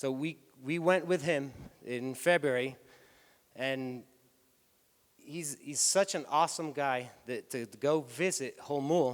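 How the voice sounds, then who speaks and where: A man speaks very slowly, with long, frequent pauses. His pitch is fairly high, with ordinary variation. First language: Spanish. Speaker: tour company executive. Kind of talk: conference talk. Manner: halting.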